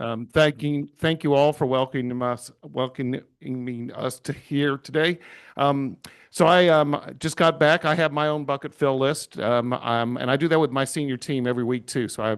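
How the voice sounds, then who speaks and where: A plain, everyday voice: a man at medium pitch, with an American accent, fairly even intonation and a moderate pace, over a quiet background. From Houston area, Texas. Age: 60s. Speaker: hospital executive. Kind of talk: presentation.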